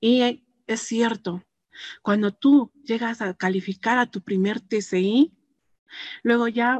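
Very slow and broken by long, frequent pauses, a woman's fairly high-pitched voice keeps fairly even intonation in a dry, close sound with no echo. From Peru, Puno (Huancané), moved to Arequipa at 13. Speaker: network marketing distributor. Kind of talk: testimony.

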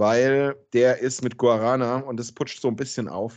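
A man speaks at medium pitch in a monotone, flat way. The background is quiet. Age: 40s. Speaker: podcast host. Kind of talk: casual chat.

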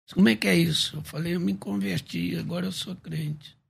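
Here a man is talking. His pace is moderate. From Rio de Janeiro, Baixada Fluminense. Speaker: pastor and preacher. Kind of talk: testimony. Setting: radio studio.

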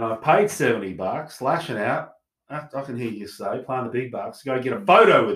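Speaking in an Australian accent, a man keeps to a moderate pace. His pitch sits at a medium level and his intonation is lively. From South Australia, Adelaide. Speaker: podcast co-host. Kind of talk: casual chat.

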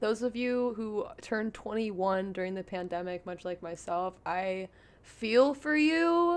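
Her tone animated and her pitch fairly high, a woman talks at a fairly slow pace with very wide pitch swings over a quiet background. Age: 20s. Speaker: podcast host. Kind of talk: casual monologue.

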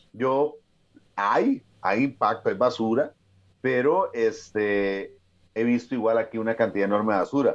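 A man talks in a Costa Rican accent. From Costa Rica, Escazú. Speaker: mountaineer and motivational speaker. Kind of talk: interview conversation.

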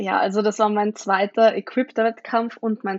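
A woman speaks in a plain, everyday voice pitched fairly high. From Austria, Vienna. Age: 20s. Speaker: powerlifter. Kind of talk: casual chat.

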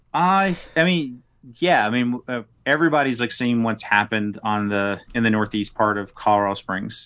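A man with an American accent talks at a moderate pace, his pitch in the medium range. His intonation is lively, and the background is quiet. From US South (South Arkansas). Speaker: political candidate. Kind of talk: podcast interview.

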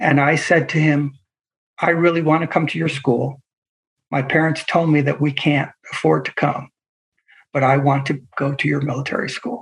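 With an American accent and vocal fry, a man speaks at a fairly high pitch and moderate pace, his intonation fairly even. Long, frequent pauses break his speech against a quiet background. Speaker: pastor. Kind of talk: interview.

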